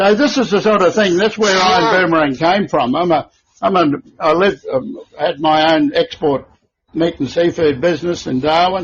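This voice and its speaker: At a moderate pace and very even loudness, a high-pitched man with an Australian accent speaks with lively intonation. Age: 70s. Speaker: company founder. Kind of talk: podcast interview. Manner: animated.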